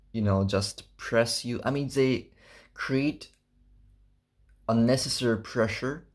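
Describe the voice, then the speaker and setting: A man with a non-native accent speaks with ordinary pitch variation on a very clean recording with a silent background. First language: not English. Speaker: fitness vlogger. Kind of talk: casual vlog monologue. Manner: halting, searching for words.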